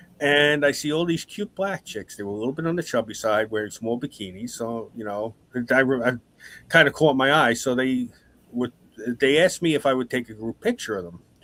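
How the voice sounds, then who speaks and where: A man's medium-pitched voice with a New York accent, lively intonation and a fairly quick pace, in a dry, close sound with no echo. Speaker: podcast host. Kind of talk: casual chat.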